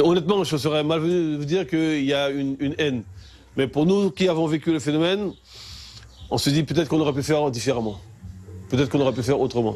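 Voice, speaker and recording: Speaking at a very fast pace yet with long, frequent pauses, a man uses a fairly high pitch and ordinary pitch variation. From French Guiana, Kourou. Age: 60s. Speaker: local resident interviewed. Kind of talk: interview testimony. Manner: halting with repetitions.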